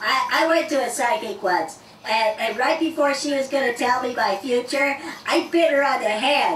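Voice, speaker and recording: The voice is a cartoonish character act. There is slight echo. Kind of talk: stand-up comedy routine. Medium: puppet show. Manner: jokey, boastful, chatty.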